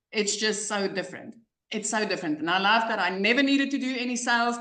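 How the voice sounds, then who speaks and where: A woman speaks in a South African accent at a fairly high pitch. There is audible echo from the room. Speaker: online business coach. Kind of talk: testimony. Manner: animated.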